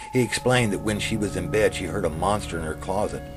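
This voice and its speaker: A man with an American accent speaks at a fairly quick pace with ordinary pitch variation amid noticeable background noise. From US South. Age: 60s. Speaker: author reading his own story. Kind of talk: reading aloud.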